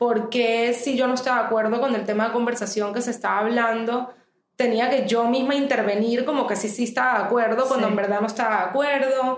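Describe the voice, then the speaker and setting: At a fairly quick pace, a woman with a fairly high pitch speaks in a monotone, flat intonation at very even loudness. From Venezuela. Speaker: therapist. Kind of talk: interview conversation.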